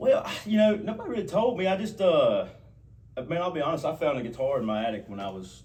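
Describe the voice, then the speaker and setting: A very fast-talking man with an American accent, amid noticeable background noise. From US South, Gaston County, North Carolina. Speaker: country singer. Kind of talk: interview.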